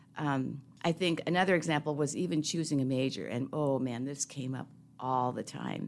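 On a very clean recording with a silent background, a woman with an American accent speaks in a very deep, low pitch with vocal fry. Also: ordinary pitch variation, moderate pace. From Seattle, US Pacific Northwest. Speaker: retired university dean. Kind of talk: interview. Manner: halting, with repeated words.

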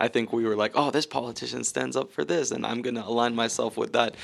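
This man talks at a very fast pace. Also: very clean recording, silent background. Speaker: podcast co-host. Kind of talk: casual chat.

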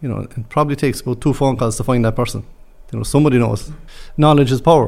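A man speaks with a Cork accent. His pitch sits in the medium range. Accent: Cork Irish. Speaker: construction manager. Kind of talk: interview.

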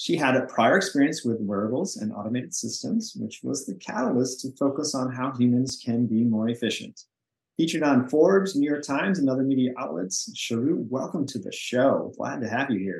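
A man with an unremarkable speaking voice, medium pitch, lively intonation and a fairly quick pace. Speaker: podcast host. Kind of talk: interview, scripted intro and outro.

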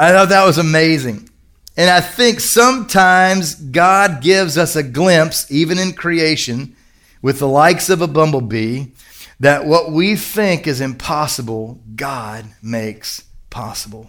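A man in a Kentucky accent, fairly high in pitch, with an animated tone and lively intonation at a fairly slow pace, on a very clean recording with a silent background. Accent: Kentucky Southern US. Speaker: pastor. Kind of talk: sermon. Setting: church service with congregation. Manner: animated, conversational.

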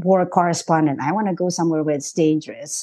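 A woman speaks at a fairly quick pace with an Indonesian accent. Her tone is dark and mellow over a quiet background. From Indonesia, Jakarta. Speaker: journalist. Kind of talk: interview.

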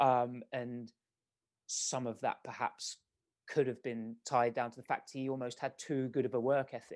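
A man talks in a British accent at a moderate pace. His intonation is monotone and flat. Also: medium pitch for a man. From England, Milton Keynes. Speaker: sprint coach. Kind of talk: podcast interview.

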